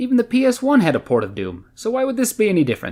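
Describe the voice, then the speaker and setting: A man talks at a very fast pace. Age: 20s. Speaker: video game reviewer. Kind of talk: scripted review narration. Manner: sardonic, jokey delivery.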